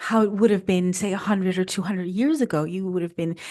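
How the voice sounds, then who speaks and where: A woman's medium-pitched voice with a dark, mellow tone, over a quiet background. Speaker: food photographer and content creator. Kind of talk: podcast interview.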